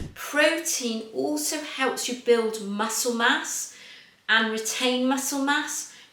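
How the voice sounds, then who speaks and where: The recording carries audible room echo and noticeable background noise. The speaker talks with an English accent. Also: woman. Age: 50s. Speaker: fitness coach. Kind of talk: tutorial.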